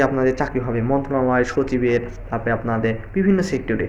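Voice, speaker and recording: Noticeable background noise behind a male voice of ordinary pitch variation. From Bangladesh. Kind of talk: casual career advice talk to camera.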